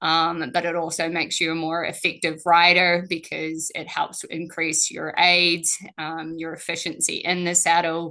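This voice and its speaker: The voice has a bright, sharp tone and a New Zealand accent, with monotone, flat intonation. It moves at a fairly slow pace over a quiet background. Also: woman. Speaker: strength and conditioning coach. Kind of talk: webinar presentation.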